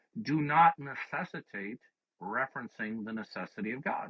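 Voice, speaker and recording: A man's voice with vocal fry and very wide pitch swings. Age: 60s. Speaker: presuppositional apologist debate host. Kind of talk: heated debate. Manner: forceful, repetitive interrupting.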